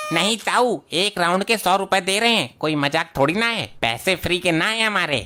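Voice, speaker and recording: A cartoonish character voice that sounds female, at a medium pitch for a woman. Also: moderate pace. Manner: teasing.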